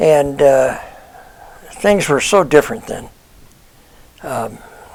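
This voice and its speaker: Noticeable background noise surrounds a man with an American accent. He speaks very slowly at a fairly high pitch, with lively intonation. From US Pacific Northwest (Portland, Oregon / Vancouver, Washington). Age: 80s+. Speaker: retiree sharing life memories. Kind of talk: personal reminiscence monologue. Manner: casual, with frequent fillers (uh, um).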